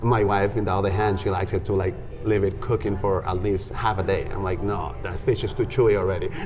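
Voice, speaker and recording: Over noticeable background noise, a man with a fairly low pitch talks very fast with fairly even intonation. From Peru. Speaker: music and dance educator. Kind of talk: casual interview conversation.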